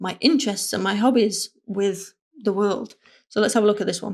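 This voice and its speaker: In a northern English accent, a woman talks at a fairly quick pace with a medium pitch and fairly even intonation. The recording is very clean, with a silent background. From northern England. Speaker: motion designer and content creator. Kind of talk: casual vlog talk.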